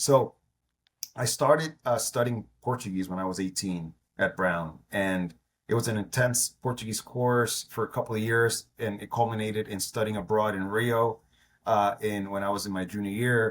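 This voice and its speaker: Recorded very cleanly against a silent background, a man with an American accent and an unremarkable speaking voice talks at a fairly low pitch and a moderate pace with fairly even intonation. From New York. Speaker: entrepreneur. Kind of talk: interview.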